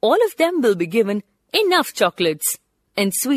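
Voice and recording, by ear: Against a quiet background, someone is reading aloud in a natural voice.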